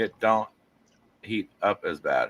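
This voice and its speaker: Loud and with a bright, sharp tone, a man with an American accent talks at a very slow pace. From Las Vegas, US. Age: 40s. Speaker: live streamer and craftsman. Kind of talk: casual chat.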